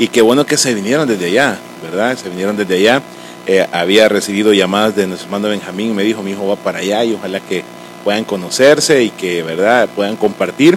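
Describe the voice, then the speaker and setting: A man with a Salvadoran accent at a very fast pace, fairly low pitch and ordinary pitch variation, amid noticeable background noise. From El Salvador. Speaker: podcast host, church member. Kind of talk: casual interview chat.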